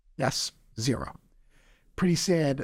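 On a very clean recording with a silent background, a man speaks with a New York accent. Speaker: entrepreneur. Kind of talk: casual chat.

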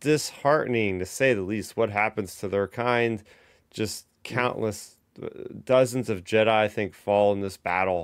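A man speaks in a normal speaking voice with a fairly low pitch and ordinary pitch variation. The recording is very clean, the background silent. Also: fairly slow pace. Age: 30s. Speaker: podcast host. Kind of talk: casual chat.

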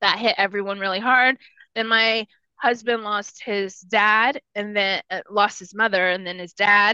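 With an American accent, a woman speaks at a fairly slow pace in a bright, sharp tone with fairly even intonation. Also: medium pitch for a woman, big swings in loudness, dry, close sound with no echo. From rural Texas, Spanish-speaking household. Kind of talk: personal life story in interview.

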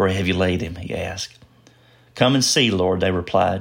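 A man speaks with fairly even intonation. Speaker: scripture reader. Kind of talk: scripture reading. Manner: measured, formal.

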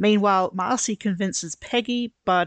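A woman speaks with an Australian accent at a moderate pace, with ordinary pitch variation. The sound is dry and close with no echo, against a quiet background. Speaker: podcast guest co-host. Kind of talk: casual chat; reading aloud.

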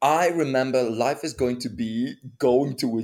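Heard in a very clean recording with a silent background, a man speaks with a non-native accent. His pitch is medium, with ordinary pitch variation. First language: not English. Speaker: podcast co-host. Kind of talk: casual chat. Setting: home recording.

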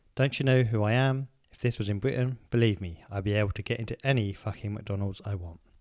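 A quiet man talks at a very fast pace. His pitch is fairly low, with ordinary variation. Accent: English. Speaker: podcast co-host. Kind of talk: casual chat.

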